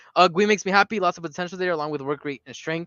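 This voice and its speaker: A man speaks with ordinary pitch variation. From South America. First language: Spanish. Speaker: football fan streamer. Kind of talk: live stream chat reading comments. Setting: live stream. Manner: fast.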